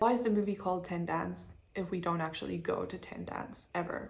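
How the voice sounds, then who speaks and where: A woman talks at a fairly quick pace with vocal fry. Her pitch variation is ordinary. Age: 20s. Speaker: designer. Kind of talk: casual talk to camera. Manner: chatty, upbeat.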